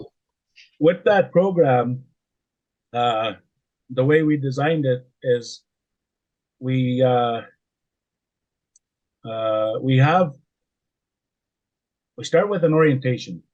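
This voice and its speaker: Long, frequent pauses break up a man's very slow speech, delivered at a medium pitch with big swings in loudness. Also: ordinary pitch variation. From Canada, Saskatchewan. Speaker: oil and gas wellsite supervisor. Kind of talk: podcast interview answer. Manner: casual, hesitant.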